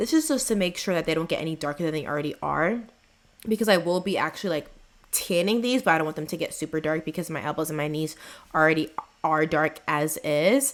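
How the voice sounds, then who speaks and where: A woman at a very fast pace, fairly low in pitch, with ordinary pitch variation. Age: 20s. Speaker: beauty vlogger. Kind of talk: tutorial. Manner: casual.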